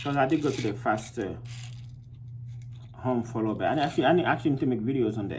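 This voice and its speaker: A man with a medium pitch and a somewhat breathy voice talks at a very fast pace with ordinary pitch variation. He takes long, frequent pauses, and room echo is audible. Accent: non-native. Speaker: vlogger. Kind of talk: casual monologue. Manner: hesitant, full of fillers.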